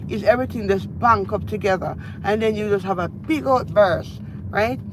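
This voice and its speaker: An animated woman with a Jamaican accent over noticeable background noise. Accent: Jamaican, still speaks a lot of patois. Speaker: lifestyle vlogger. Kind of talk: casual live-stream chat. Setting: in a car, driving.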